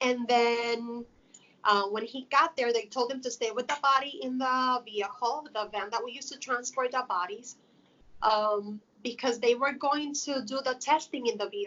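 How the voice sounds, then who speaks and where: A woman's high-pitched voice with a Spanish accent. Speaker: funeral home worker. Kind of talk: interview.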